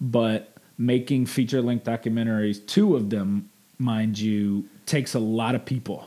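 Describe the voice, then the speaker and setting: This man has a Mississippi accent and a dark, mellow tone at medium pitch. He talks at a fairly slow pace with fairly even intonation. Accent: US Southern (Mississippi). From Jackson, Mississippi. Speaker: sports broadcaster and documentary producer. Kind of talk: interview. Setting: on location near train tracks.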